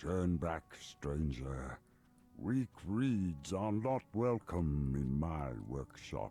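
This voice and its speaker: In a booming, put-on character voice, a man speaks very slowly at a very deep, low pitch. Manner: booming, warning.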